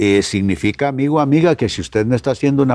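Against a quiet background, a man with a dark, mellow tone speaks at a fairly quick pace and medium pitch, his intonation lively. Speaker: pastor and radio program host. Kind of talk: radio devotional talk. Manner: direct address to listeners.

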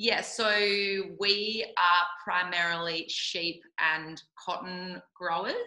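In an Australian accent, a woman speaks at a very slow pace. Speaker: yoga teacher. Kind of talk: casual interview chat. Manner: loud; energetic.

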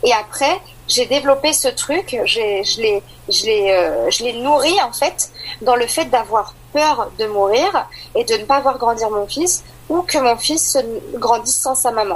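High-pitched woman at a very slow pace, lively intonation, noticeable background noise. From Île-de-France, France. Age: 30s. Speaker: mother sharing postpartum depression story. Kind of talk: personal testimony interview.

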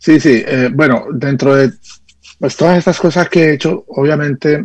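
The pitch moves in an ordinary way. This man's delivery is fairly slow. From Colombia, Caldas (coffee region). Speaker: music producer and arranger. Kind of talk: radio interview. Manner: halting, with frequent fillers and repetitions. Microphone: connection dropped out.

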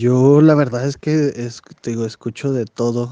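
Very slowly, a man speaks at a medium pitch in a dark, mellow tone, the sound dry and close with no echo. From Chihuahua, northern Mexico (Saucillo area). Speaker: bartender and part-time comedian. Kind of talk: recorded voice message answers. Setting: recorded separately, voice message.

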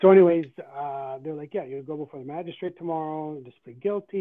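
A man talks at a very fast pace with a Canadian accent. His pitch is fairly high, with ordinary variation. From Canada. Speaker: traveler detained abroad. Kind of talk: interview.

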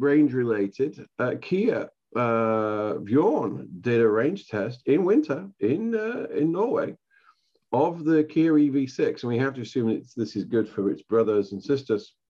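A man with an English accent and a dark, mellow tone, very slow, with very wide pitch swings. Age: middle-aged. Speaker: podcast host and stand-up comedian. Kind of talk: casual solo podcast talk.

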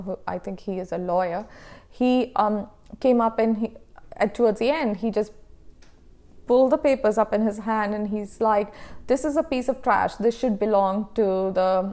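A woman with a non-native accent talks at a moderate pace in a fairly high voice with ordinary pitch variation. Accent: foreign-accented English. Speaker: professor and researcher. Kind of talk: interview conversation.

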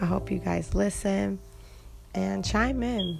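With music in the background, a woman with an American accent speaks at a fairly slow pace. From Detroit, Michigan. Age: 20s. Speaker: podcast host. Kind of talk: personal monologue. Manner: hesitant, many fillers.

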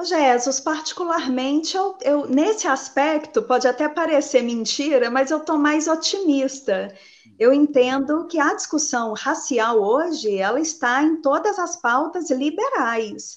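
A woman speaks at a fairly slow pace. Her pitch is high and her intonation lively. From Betim, Minas Gerais, Brazil. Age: 40s. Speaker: teacher and local party politician. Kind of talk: live online debate. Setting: online livestream.

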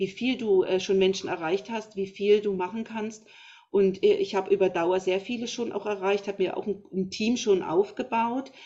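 A woman talks in a normal speaking voice at a medium pitch and moderate pace, her intonation fairly even. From Thuringia, Germany. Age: 50s. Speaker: naturopath. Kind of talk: interview.

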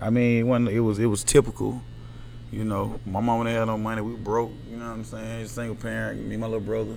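The speech comes at a very fast pace, with music in the background and audible room echo. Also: man. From US South, Atlanta, Georgia. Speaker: barber. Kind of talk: casual chat.

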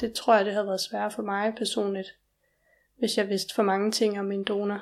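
Against a silent background in a very clean recording, a woman speaks at a fairly slow pace in a monotone, flat intonation. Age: 20s. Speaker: organ transplant recipient. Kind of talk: interview. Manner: halting.

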